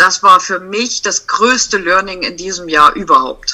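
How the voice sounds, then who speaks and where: A woman's medium-pitched voice, bright and sharp in tone, at a very slow pace. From Saxony-Anhalt, eastern Germany (Sangerhausen). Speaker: family photographer. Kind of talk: casual interview chat.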